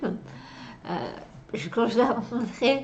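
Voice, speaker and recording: Against noticeable background noise, a woman speaks very slowly with lively intonation. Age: 30s. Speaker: actress. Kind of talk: interview answer.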